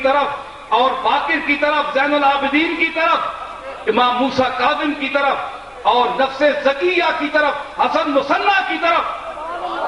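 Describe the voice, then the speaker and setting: A man with an extremely high pitch speaks in a raised, projected voice with ordinary pitch variation. Noticeable background noise can be heard. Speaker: Islamic scholar and preacher. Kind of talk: religious sermon to a live audience.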